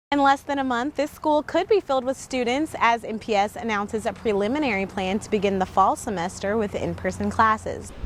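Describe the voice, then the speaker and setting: A woman with an ordinary speaking voice talks at a fairly quick pace with hardly any pauses. Her pitch is fairly high and her intonation lively. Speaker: multimedia journalist. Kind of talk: TV news report.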